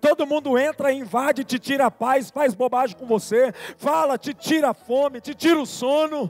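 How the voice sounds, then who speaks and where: An extremely high-pitched man talks at a moderate pace with ordinary pitch variation, in a dry, close sound with no echo. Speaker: pastor. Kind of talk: sermon. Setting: church. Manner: soft-spoken.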